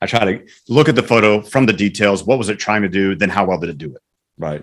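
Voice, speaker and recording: A man's pitch varies in an ordinary way as he speaks very fast. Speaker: photography competition judge. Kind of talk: photo critique. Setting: in-person meeting recorded over Zoom. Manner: loud, projecting.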